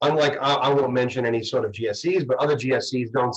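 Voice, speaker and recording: Somewhat breathy, a man with a Boston accent talks at a moderate pace with ordinary pitch variation. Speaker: mortgage broker. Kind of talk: panel discussion. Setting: video call. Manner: halting.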